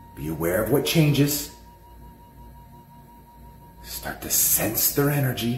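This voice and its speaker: Audible room echo and music in the background surround a man speaking at a fairly slow pace. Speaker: spiritual guide. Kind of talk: guided exercise instruction. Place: home room. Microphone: phone near.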